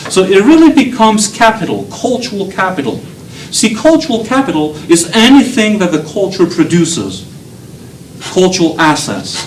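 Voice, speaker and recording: A man talks at a moderate pace and a high pitch, his intonation lively. Room echo is audible, and background noise is noticeable. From Belgium. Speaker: professor. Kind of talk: lecture. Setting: lecture hall with students. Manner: animated.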